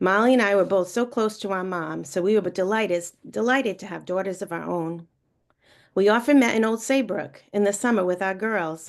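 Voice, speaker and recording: Against a quiet background, a woman with a New England accent talks at a moderate pace and medium pitch with ordinary pitch variation. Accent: New England, non-rhotic. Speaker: college friend giving a tribute. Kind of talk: eulogy read aloud. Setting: video call.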